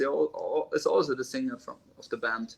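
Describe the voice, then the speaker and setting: Lively intonation at a moderate pace. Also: man. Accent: German. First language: German. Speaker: drummer. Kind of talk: interview. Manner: halting.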